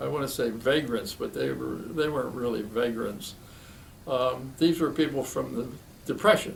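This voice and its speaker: A man speaks at a medium pitch with an American accent. Room echo is audible. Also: ordinary pitch variation, moderate pace. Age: 90s. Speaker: retired physician. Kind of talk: oral history interview. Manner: halting.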